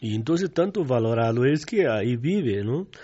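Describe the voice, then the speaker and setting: The speaker talks at a fairly slow pace with a Portuguese accent. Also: man. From southern Brazil. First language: Portuguese (speaking Spanish). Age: 60s. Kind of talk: radio interview.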